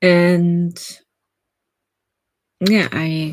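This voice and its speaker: A woman's fairly low pitch in a German accent. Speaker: writer and streamer. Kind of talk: casual live stream chat. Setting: live stream.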